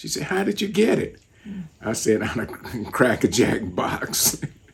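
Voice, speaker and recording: Noticeable background noise around a man speaking at a moderate pace. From United States. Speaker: artist and teacher, Vietnam veteran. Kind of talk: interview answer.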